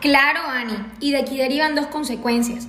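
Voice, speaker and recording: A woman with a high voice talks over noticeable background noise, with audible room echo. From Colombia, Sahagún, Córdoba. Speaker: psychiatrist and researcher. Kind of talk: expert panel discussion. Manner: formal.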